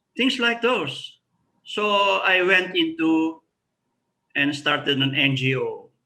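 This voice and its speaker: With long, frequent pauses and a very slow pace, a man speaks in a high, raised, projected voice that is bright and sharp, with lively intonation and very even loudness. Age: 70s. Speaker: retired professor. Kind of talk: interview.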